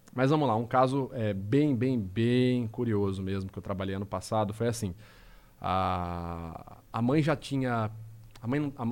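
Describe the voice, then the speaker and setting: This man has a plain, everyday voice at a medium pitch. His pitch varies in an ordinary way. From interior of São Paulo state, Brazil (Rio Claro). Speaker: body language and lie detection analyst. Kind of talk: casual podcast interview.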